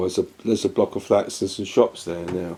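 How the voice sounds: His voice has a dark, mellow tone and ordinary pitch variation.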